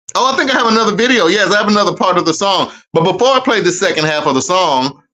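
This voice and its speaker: A man speaks in an animated, raised and projected voice, high-pitched with lively intonation and a bright, sharp tone. He talks at a very fast pace, his loudness very even throughout. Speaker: live-stream host. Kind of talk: casual live-stream chat.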